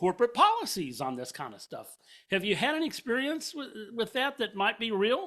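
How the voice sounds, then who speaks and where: A man uses a raised, projected voice, high-pitched and bright and sharp in tone, with very wide pitch swings in a very clean recording with a silent background. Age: 60s. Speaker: podcast host. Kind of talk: casual interview. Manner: halting.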